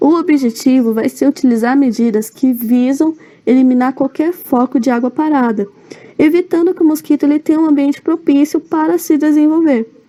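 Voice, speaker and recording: Noticeable background noise sits behind a woman whose high-pitched voice holds very even loudness, ordinary pitch variation and a moderate pace. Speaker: student presenting a seminar. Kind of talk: recorded seminar presentation.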